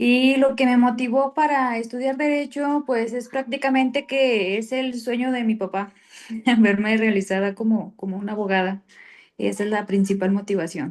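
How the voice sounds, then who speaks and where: A woman with a normal speaking voice, fairly high in pitch with ordinary variation, at a moderate pace before a quiet background. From Michoacán, Mexico (La Piedad). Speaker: law student. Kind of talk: class introduction. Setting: video call.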